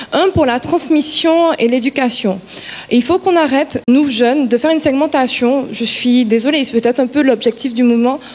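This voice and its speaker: Her pitch is high and her pitch variation ordinary as this woman speaks at a moderate pace. Noticeable background noise runs underneath. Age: 20s. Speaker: young graduate, debate participant. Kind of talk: public debate speech.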